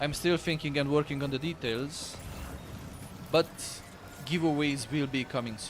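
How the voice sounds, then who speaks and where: Pausing long and often, a man with an Eastern European accent talks at a moderate pace and a fairly high pitch, with fairly even intonation. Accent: East European. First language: Romanian. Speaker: gaming streamer. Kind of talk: live stream chat.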